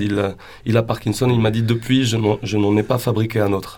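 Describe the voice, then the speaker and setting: A man talks in a monotone, flat intonation at a moderate pace while noticeable background noise runs behind him. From western Algeria. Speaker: band singer. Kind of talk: radio interview. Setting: radio studio. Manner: halting.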